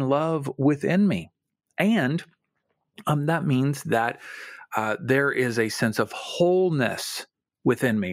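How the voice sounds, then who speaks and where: A very slow man's voice, fairly high in pitch with lively intonation, on a very clean recording with a silent background. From Kentucky. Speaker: faith-based career coach. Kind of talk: podcast interview.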